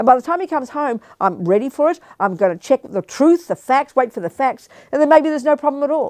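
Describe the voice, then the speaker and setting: A woman's high-pitched, animated voice in an Australian accent, with very wide pitch swings, a fairly quick pace, and a dry, close sound with no echo against a quiet background. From Australia (Melbourne). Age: 70s. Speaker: Buddhist nun and teacher. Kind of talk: dharma talk with Q&A.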